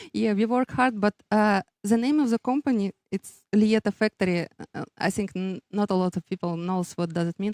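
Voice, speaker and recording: Speaking in a Russian accent, a woman uses a medium pitch at a moderate pace. The recording is very clean, the background silent. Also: ordinary pitch variation. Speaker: business owner, race graphics designer. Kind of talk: interview. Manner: halting, many fillers.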